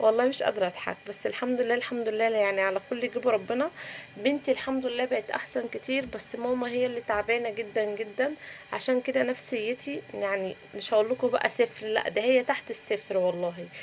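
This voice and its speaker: A woman speaks with an Egyptian accent at a fairly high pitch. She hardly pauses at all. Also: ordinary pitch variation, moderate pace. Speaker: cooking vlogger. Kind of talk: cooking vlog narration. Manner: subdued.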